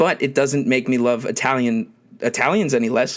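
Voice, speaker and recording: In a very clean recording with a silent background, a man with a Philadelphia accent speaks at a medium pitch and a moderate pace. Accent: Philadelphia accent, noticeable. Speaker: podcast host. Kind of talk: casual monologue. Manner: hesitant, many filler words.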